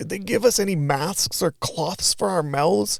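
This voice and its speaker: A put-on character voice at a middle pitch and moderate pace. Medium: read story.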